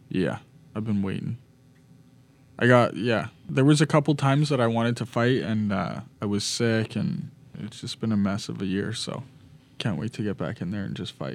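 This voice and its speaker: Marked by vocal fry and lively intonation, this voice moves at a moderate pace with long, frequent pauses in a very clean recording with a silent background. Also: man, medium pitch for a man. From British Columbia, Canada. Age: 20s. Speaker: professional boxer. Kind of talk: casual interview. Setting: studio.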